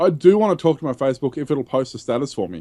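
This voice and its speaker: A man with an Australian accent and a fairly high pitch, dark, mellow tone and lively intonation, talking at a very fast pace in a dry, close sound with no echo. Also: quiet background. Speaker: tech podcast host. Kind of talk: casual chat.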